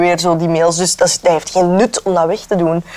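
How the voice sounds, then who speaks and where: Noticeable background noise behind a woman at a fairly quick pace. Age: 20s. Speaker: actress and radio presenter. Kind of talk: casual chat. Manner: halting.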